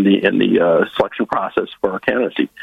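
A man with an American accent, fairly low pitch and a very fast pace. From Northwest Iowa (Lyon County). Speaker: political party director. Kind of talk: interview.

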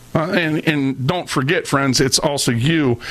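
Through noticeable background noise, a man with an American accent talks at a moderate pace. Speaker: radio host. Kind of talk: angry rant. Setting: studio. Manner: loud, fiery, indignant; preachy, sarcastic.

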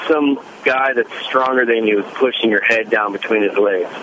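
Medium-pitched male speech at a middling tempo, over noticeable background noise. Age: 40s. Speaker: caller with muscle cramps. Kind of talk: phone-in question. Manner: halting, many fillers.

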